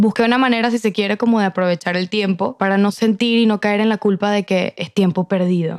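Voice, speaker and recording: In an unremarkable speaking voice, a woman talks at a fairly quick pace with hardly any pauses, a medium pitch and fairly even intonation, in a dry, close sound with no echo. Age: 20s. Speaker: podcast guest. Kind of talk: casual chat.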